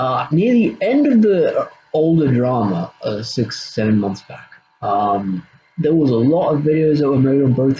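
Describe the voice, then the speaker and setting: Speaking here is a man with an Australian accent. His pitch sits in the medium range. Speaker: YouTuber. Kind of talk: casual monologue, drama response video. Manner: halting, many fillers and repeats.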